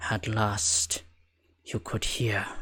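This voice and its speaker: Whispering in a raspy, put-on character voice, a man speaks. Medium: actual play. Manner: whispering, seductive.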